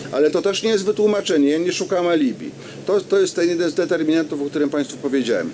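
A man races along at a very fast pace, his pitch high with ordinary variation. His loudness stays very even over light background noise. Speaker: regional councillor. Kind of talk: public debate. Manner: formal. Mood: calm, defensive explaining. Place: street. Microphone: handheld.

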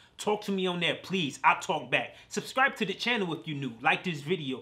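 The speech moves at a fairly quick pace with lively intonation. Noticeable background noise runs underneath. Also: man. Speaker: reaction channel host. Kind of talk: reaction commentary. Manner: animated, excitable.

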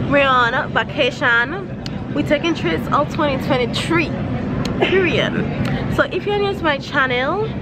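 Music can be heard in the background. Over it, a woman speaks. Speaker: vlogger. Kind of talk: casual vlog chat. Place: station. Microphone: phone near.

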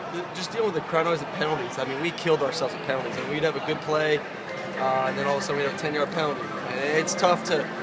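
A man speaks at a very fast pace. Loud background noise runs underneath. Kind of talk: interview answer. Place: stadium. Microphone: phone near.

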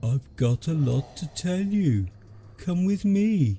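Over clear background music, a put-on character voice moves at a fairly slow pace. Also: man, fairly high pitch for a man. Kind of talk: horror narration. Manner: warm, friendly, coaxing.

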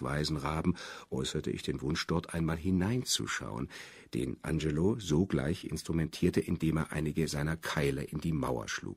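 A man speaks with a very deep, low pitch, vocal fry and ordinary pitch variation. The recording is very clean, with a silent background. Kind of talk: literary audiobook reading. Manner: measured, even and unhurried, formal literary delivery.

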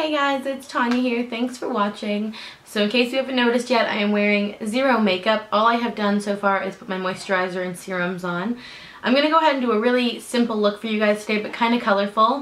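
Talking at a very fast pace, a woman shows ordinary pitch variation. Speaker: beauty vlogger. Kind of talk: tutorial. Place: home room. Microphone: camera far.

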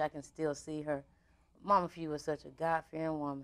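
Speech moves at a moderate pace. The background stays quiet. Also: woman. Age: 30s. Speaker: radio talk show host. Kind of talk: casual interview. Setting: studio. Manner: animated. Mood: warm, animated, chatty. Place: studio.

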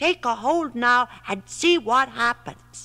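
Bright and sharp, a woman's put-on character voice sits at a fairly high pitch. She talks at a slow pace with lively intonation.

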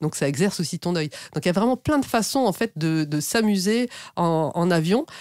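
A normal speaking voice from a woman, fairly quick with lively intonation, dry and close with no echo, on a very clean recording with a silent background. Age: 50s. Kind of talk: interview.

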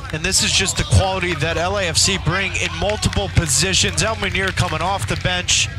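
Amid noticeable background noise, the voice moves at a moderate pace with very wide pitch swings and hardly any pauses. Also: man, fairly high pitch for a man. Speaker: co-commentator / match analyst. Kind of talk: live sports commentary (analyst) with tactical breakdown. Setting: broadcast booth, recorded TV match feed. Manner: fluent, confident, explanatory.

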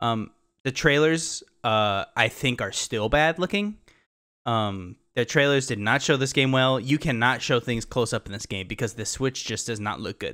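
The tone is bright and sharp, at a moderate pace with ordinary pitch variation. The background is quiet. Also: man. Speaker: gaming podcast co-host. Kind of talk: casual chat. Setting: video call. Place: home room. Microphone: studio mic.

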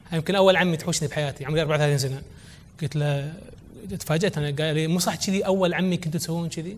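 Over light background noise, a man with an unremarkable speaking voice talks at a fairly quick pace and a fairly high pitch. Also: fairly even intonation. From Kuwait. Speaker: entrepreneur and children's author; guest. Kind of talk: conference talk. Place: hall. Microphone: lapel.

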